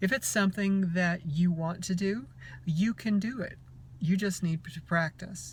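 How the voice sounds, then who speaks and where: Somewhat breathy, a woman speaks at a fairly low pitch. Her pace is fairly slow, with ordinary pitch variation. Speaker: transgender woman giving voice tips. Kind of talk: casual voice tutorial to camera.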